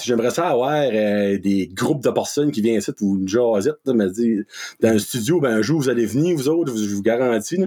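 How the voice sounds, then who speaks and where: A man with a dark, mellow tone and lively intonation speaks at a moderate pace. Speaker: content creator. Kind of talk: casual chat. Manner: animated.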